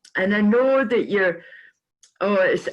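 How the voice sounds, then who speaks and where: This woman has a fairly high pitch, a somewhat breathy quality and ordinary pitch variation. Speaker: interview show host. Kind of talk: interview.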